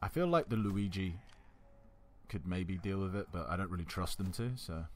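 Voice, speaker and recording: Mumbling in a relaxed tone, a man speaks at a very deep, low pitch. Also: ordinary pitch variation, moderate pace. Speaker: gaming YouTuber. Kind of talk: let's play commentary. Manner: casual, relaxed.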